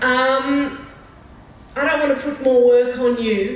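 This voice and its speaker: Noticeable background noise and audible room echo surround a woman speaking in a high-pitched voice. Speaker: academic supervisor, audience member. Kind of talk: audience comment at conference. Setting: conference hall with audience. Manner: emphatic, direct.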